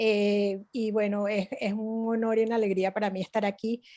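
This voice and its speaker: A woman with a Venezuelan accent, fairly high in pitch, at a fairly slow pace. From Venezuela (Altos Mirandinos, near Caracas). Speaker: artist. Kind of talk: online presentation talk.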